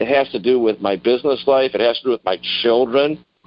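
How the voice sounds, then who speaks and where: This is a man speaking at a medium pitch. His pace is moderate. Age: 60s. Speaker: political candidate. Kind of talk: interview. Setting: phone call. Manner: halting.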